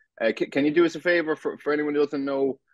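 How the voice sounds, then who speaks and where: A man talks at a very fast pace. He has a Cork accent and a fairly high pitch. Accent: Irish, Cork. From Ireland, West Cork. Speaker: podcast host. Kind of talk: interview. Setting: sit-down video interview. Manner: halting, many false starts.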